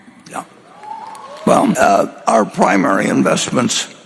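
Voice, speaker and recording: Against crowd noise in the background, a man talks at a moderate pace. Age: 80s+. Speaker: investor, company chairman. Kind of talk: interview answer at shareholder meeting.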